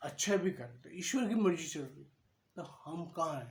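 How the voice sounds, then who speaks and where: A man with a fairly high pitch talks at a moderate pace with ordinary pitch variation. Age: 60s. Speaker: devotional speaker. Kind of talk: spiritual talk. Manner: conversational.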